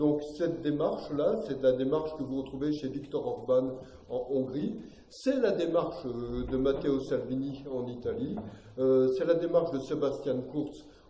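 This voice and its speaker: With audible room echo and noticeable background noise, a man speaks at a fairly slow pace and a fairly high pitch, using ordinary pitch variation. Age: 60s. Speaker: political commentator, lecturer. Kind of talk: public lecture. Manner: hesitant, many fillers.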